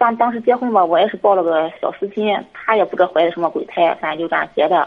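A woman speaks at a fairly quick pace in a medium pitch with ordinary pitch variation. She has an unremarkable speaking voice. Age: 40s. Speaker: caller to advice show. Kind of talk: personal problem call.

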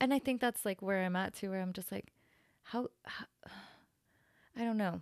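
Speaking at a moderate pace with an American accent, a woman uses an ordinary speaking voice at medium pitch with ordinary pitch variation, recorded with a dry, close sound and no echo. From Salt Lake City, Utah. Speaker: tattoo artist. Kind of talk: casual interview chat. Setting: studio.

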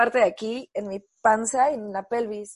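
A woman with a Mexican accent speaks at a moderate pace in a fairly high voice with ordinary pitch variation against a quiet background. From Mexico. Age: 30s. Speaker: architect and adaptive surfer. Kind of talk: interview testimony.

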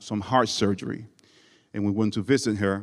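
A man with a fairly low voice is heard on a very clean recording with a silent background.

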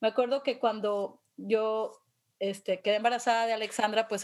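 On a very clean recording with a silent background, a woman talks at a moderate pace in a fairly high voice, an unremarkable speaking voice. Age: 50s. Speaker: podcast host. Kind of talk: casual chat.

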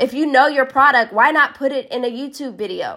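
The recording is very clean, with a silent background. A woman speaks with a high pitch in an animated, upbeat, bright and sharp tone. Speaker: network marketing coach. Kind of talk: live social media talk. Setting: live stream from Las Vegas.

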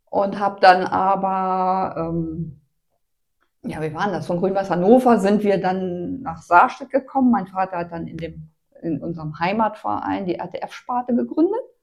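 At a fairly slow pace, a woman with medium pitch and ordinary pitch variation speaks with big swings in loudness. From northern Germany, Hanover region. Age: 60s. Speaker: amateur road cyclist. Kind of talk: casual interview chat. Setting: kitchen.

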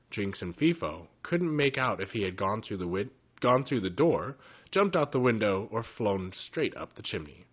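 Just plain reading aloud

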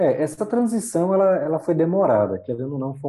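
A man speaks in a dark, mellow tone at a fairly high pitch and a moderate pace. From Brazil, mostly Northeast (João Pessoa) from age 8, early years Curitiba. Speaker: illustrator and digital colorist. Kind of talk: interview.

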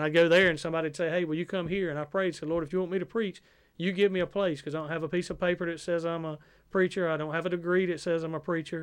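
Over a quiet background, a man speaks very fast in a high-pitched, flat monotone. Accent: Southern US. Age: 40s. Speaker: preacher. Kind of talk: interview testimony.

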